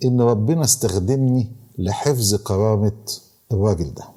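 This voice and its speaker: A man with an Egyptian accent and a dark, mellow tone, at a moderate pace, on a very clean recording with a silent background. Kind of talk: podcast moral talk and storytelling.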